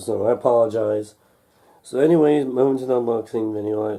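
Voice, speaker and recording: A man's dark, mellow tone at a medium pitch. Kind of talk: casual unboxing talk to camera. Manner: hesitant, halting.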